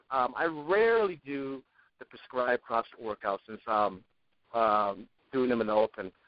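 This man has an ordinary speaking voice, pitched medium, with ordinary pitch variation. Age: 50s. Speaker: fitness blogger. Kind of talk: casual chat.

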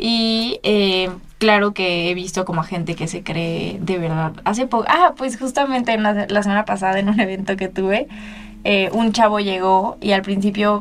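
Speaking in a Mexican accent, a woman uses a medium pitch and ordinary pitch variation at a moderate pace. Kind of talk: casual interview. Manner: casual, filler-heavy.

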